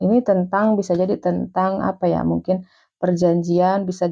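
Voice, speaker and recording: This woman's tone is dark and mellow. She keeps to a moderate pace. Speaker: tarot reader. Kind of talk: tarot reading. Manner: halting.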